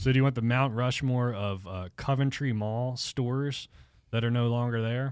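A plain, everyday voice: a man at medium pitch with fairly even intonation, in a very clean recording with a silent background. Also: moderate pace. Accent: American. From southeastern Pennsylvania. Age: 30s. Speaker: sports podcast panelist. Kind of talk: casual chat. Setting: studio.

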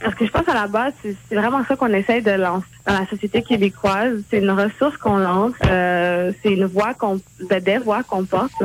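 A woman with an unremarkable speaking voice talks at a medium pitch and moderate pace, with ordinary pitch variation and very even loudness. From Quebec, Montreal and Terrebonne, Haitian family. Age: 20s. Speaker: blog contributor. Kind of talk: interview.

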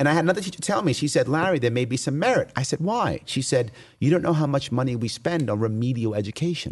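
A man with a New York accent speaks very fast at a fairly high pitch. His intonation is lively. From New York City. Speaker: political candidate for governor. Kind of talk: interview. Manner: fast talker.

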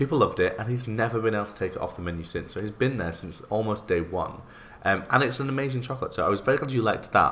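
Speaking at a very fast pace, a man talks with a British accent. His pitch is medium, with ordinary variation. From UK. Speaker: podcast host and baker. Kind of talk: casual interview chat.

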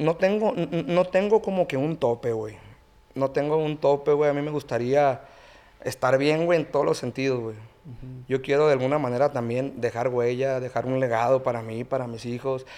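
Moderate pace, medium pitch and ordinary pitch variation from a man with an unremarkable speaking voice. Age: 30s. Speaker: regional Mexican band singer. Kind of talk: casual chat.

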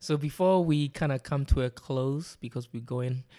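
In a very clean recording with a silent background, the speaker talks with a London accent. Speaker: podcast host. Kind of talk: casual chat.

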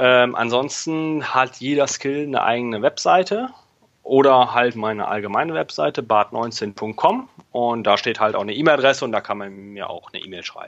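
Speaking at a moderate pace, a man with an unremarkable speaking voice, medium pitch and ordinary pitch variation shows big swings in loudness. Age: 20s. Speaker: software developer. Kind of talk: interview.

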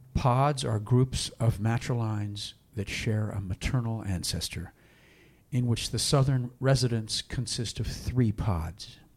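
A man speaks at a fairly slow pace, somewhat breathy, with ordinary pitch variation. The recording is very clean with a silent background. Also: medium pitch for a man. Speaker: co-host and preacher.

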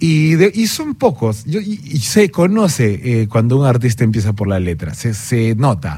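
Over noticeable background noise, a man speaks at a fairly slow pace with very wide pitch swings and hardly any pauses. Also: medium pitch for a man. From Peru. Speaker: singer-songwriter. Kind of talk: radio interview. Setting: studio.

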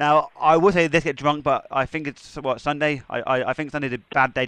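A man with an English accent talks at a very fast pace, with hardly any pauses, in a bright, sharp tone. His voice sits fairly high with ordinary pitch variation, against a quiet background. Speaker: wrestling podcast host. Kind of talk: casual interview. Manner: halting, repeats words.

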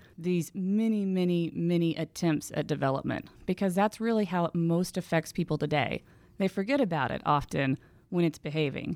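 In an American accent, a woman speaks at a moderate pace in an unremarkable speaking voice, fairly low in pitch with ordinary pitch variation and very even loudness, on a very clean recording with a silent background. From Houston, Texas. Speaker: environmental historian and author. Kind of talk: interview. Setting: studio.

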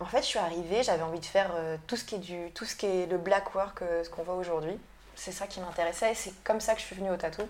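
Very fast speech comes from a woman with a medium pitch. Her loudness swings widely. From Brittany, France. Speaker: tattoo artist. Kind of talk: interview. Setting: tattoo shop. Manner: halting.

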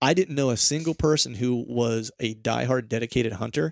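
This man talks at a medium pitch and a fairly quick pace. He has a plain, everyday voice with ordinary pitch variation. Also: dry, close sound with no echo. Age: 40s. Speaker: deer hunting podcast host. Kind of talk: casual chat.

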